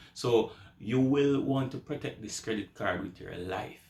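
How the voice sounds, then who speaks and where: With a Jamaican accent, a man talks at a fairly slow pace and with fairly even intonation. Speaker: YouTuber. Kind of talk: advice vlog. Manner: casual.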